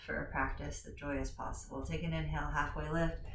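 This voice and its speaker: The speech moves at a moderate pace. Audible room echo and noticeable background noise come through. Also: woman. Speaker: yoga teacher. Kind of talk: guided yoga class. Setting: home recording. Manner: projecting loudly.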